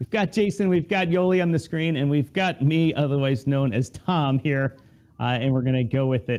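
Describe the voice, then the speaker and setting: This man has an unremarkable speaking voice, fairly high in pitch, with an American accent. His intonation is lively, his pace moderate and his loudness very even. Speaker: podcast host. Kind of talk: live show hosting. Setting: live video stream.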